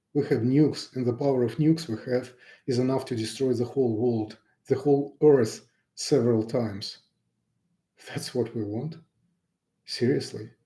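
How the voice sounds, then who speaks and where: With a Russian accent, a man speaks at a moderate pace in a medium pitch, his dark, mellow tone somewhat breathy and broken by long, frequent pauses. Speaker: pianist and YouTuber. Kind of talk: unscripted live broadcast message. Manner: unprepared, somewhat halting.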